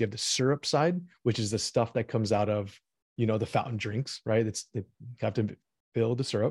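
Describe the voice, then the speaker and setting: A man's somewhat breathy voice at a fairly quick pace, with fairly even intonation, dry and close with no echo, on a very clean recording with a silent background. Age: 30s. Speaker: e-commerce marketer and investor. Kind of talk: casual interview.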